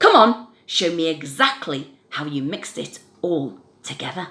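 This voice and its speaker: Using a put-on character voice, a woman speaks loudly at a moderate pace with a fairly low pitch. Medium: read story. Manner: loud, exuberant.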